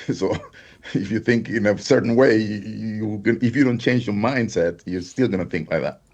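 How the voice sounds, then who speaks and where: Moderate pace with a Spanish accent. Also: man, medium pitch for a man, ordinary pitch variation. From Honduras. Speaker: affiliate marketer. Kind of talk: interview.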